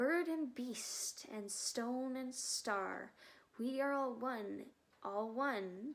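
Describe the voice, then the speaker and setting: A soft-spoken woman uses a put-on character voice with a high pitch. She talks in a sing-song way at a very slow pace. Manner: soft, murmuring, singsong.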